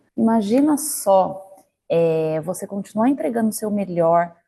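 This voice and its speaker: Her tone is dark and mellow, and the woman's intonation is lively. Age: 30s. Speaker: corporate career coach, marketing manager. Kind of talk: online lecture. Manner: conversational, direct address with rhetorical questions.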